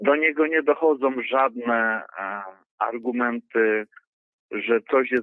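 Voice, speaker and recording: A man talks at a very slow pace in a medium pitch. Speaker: caller, driver. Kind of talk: phone call-in. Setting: phone call.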